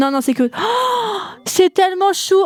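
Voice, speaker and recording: A woman speaks in an animated tone. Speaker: gaming YouTuber, design student. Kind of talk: casual let's-play commentary. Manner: fast. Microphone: poor sound quality.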